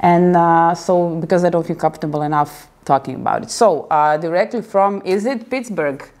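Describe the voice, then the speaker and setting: The recording is very clean, with a silent background. A woman with a fairly low pitch speaks at a moderate pace with ordinary pitch variation and hardly any pauses. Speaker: video blogger. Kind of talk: video interview. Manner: halting.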